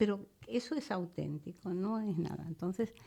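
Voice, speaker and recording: At a fairly slow pace over a quiet background, a woman with a dark, mellow tone speaks at a medium pitch with ordinary pitch variation. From Spain, León (Ponferrada area). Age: 70s. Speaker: psychic and natural healer. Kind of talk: interview. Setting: radio studio.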